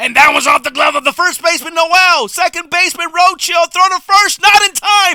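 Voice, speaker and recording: A man uses a raised, projected voice with extremely high pitch and a bright, sharp tone. His pitch variation is ordinary, and the sound is dry and close with no echo. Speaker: baseball play-by-play announcer. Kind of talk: baseball play-by-play broadcast demo reel.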